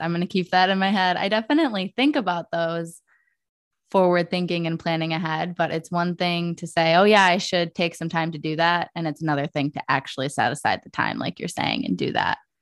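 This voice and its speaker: In an unremarkable speaking voice with an American accent, a woman talks at a fairly quick pace and fairly low pitch with ordinary pitch variation, dry and close with no echo over a quiet background. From Michigan. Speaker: podcast host. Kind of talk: podcast interview.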